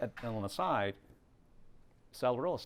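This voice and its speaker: A man speaks at a moderate pace with a Chinese accent. The recording is very clean and the background silent. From Hong Kong, moved to North America at nine. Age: 40s. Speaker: realtor teaching a video marketing class. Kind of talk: workshop lecture. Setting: classroom with small live audience. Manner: casual, conversational.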